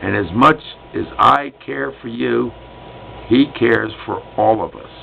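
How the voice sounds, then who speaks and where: Noticeable background noise behind a man in an American accent, speaking at a fairly slow pace with big swings in loudness. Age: 60s. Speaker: vlogger, retired Vietnam veteran. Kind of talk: personal vlog monologue. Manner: outspoken, loud.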